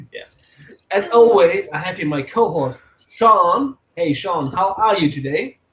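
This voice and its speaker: The speaker has a German accent and a fairly slow pace. Long pauses come often. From Austria. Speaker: movie podcast host. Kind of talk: casual chat.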